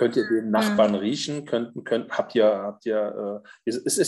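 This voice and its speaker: Moderate pace from a man, with a quiet background. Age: 50s. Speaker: social worker with therapy dogs. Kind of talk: casual chat.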